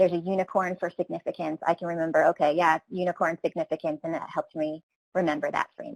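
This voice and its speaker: A woman's fairly low-pitched voice at a very fast pace, dry and close with no echo. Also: fairly even intonation. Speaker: training program presenter. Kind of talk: webinar presentation.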